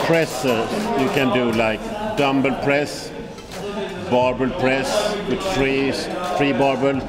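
Through loud background noise, a man talks at a very slow pace. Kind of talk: tutorial. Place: gym.

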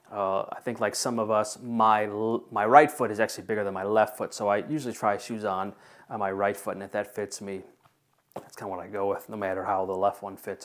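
A man with an ordinary speaking voice at a moderate pace against a quiet background. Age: 40s. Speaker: shoe reviewer. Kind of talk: product review. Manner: casual, with many filler words. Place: home room.

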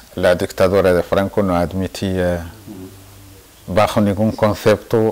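A man's fairly low voice at a fairly slow pace, with fairly even intonation. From Western Sahara, El Aaiún; Western Sahara. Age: 60s. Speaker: Saharawi independence activist; interviewee. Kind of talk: interview testimony. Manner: hesitant, with many fillers. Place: home room.

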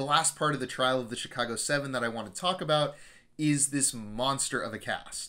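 Speaking at a fairly quick pace, a man has a bright, sharp tone and ordinary pitch variation. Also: medium pitch for a man.

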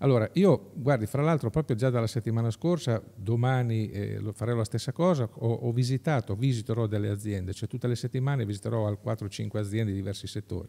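The voice has a dark, mellow tone and moves at a fairly quick pace with hardly any pauses and ordinary pitch variation. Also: man, medium pitch for a man. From Marche, Pesaro-Urbino inland (Urbania); Marche. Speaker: political candidate, entrepreneur; candidate. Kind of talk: interview. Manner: halting. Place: hall. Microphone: studio mic.

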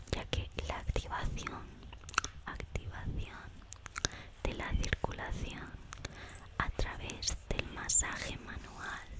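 Whispering from a woman, very slow, broken by long, frequent pauses. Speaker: ASMR creator. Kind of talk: ASMR whispered talk to camera. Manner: whispered, soft-spoken, repetitive trigger words. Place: home room.

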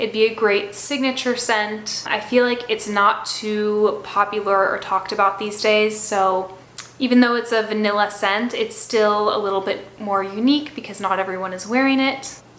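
Moderate-paced speech with fairly even intonation and audible room echo. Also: woman. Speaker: perfume youtuber. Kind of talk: casual review vlog chat. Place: home room.

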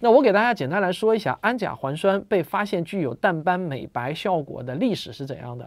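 A man speaks in a high pitch with very wide pitch swings. His pace is moderate and the background is quiet. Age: 40s. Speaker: science popularizer. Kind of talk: monologue explainer video. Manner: casual, filler-heavy. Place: home room.

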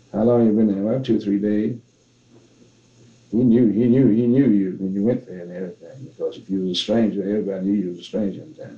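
A man with a Southern US accent talks at a very fast pace, fairly low in pitch. His intonation stays fairly even while his loudness swings widely. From Tennessee and Arkansas, US South. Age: 70s. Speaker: blues musician. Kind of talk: interview answer.

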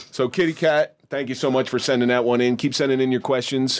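Very fast speech from a man. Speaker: podcast host. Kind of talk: podcast conversation. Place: studio. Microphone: studio mic.

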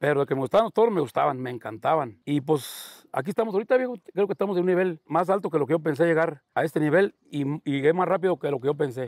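Very fast speech in a dry, close sound with no echo. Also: man, fairly high pitch for a man, hardly any pauses. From Mexico, rural Guanajuato. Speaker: bull ranch owner. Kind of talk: casual interview.

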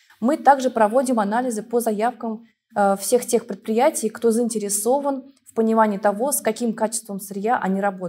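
At a moderate pace, a woman with a fairly high pitch keeps a dark, mellow tone and fairly even intonation. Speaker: laboratory head. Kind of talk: expert interview. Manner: formal. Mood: calm, professional. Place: studio.

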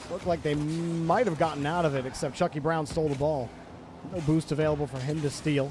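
Over noticeable background noise, a man with a fairly high pitch speaks very fast with fairly even intonation in a dry sound with no echo. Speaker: esports commentator. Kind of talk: live commentary. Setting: livestream. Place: home room. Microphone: studio mic.

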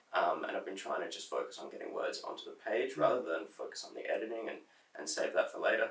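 At a very fast pace, a man with an Australian accent talks with extremely high pitch and lively intonation. His loudness swings a lot. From South Australia. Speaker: poet. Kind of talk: interview answer. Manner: casual, hesitant.

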